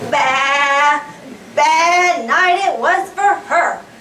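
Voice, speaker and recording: Someone performs a put-on character voice with a slight echo and clear background noise. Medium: stage play. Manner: bleating, questioning.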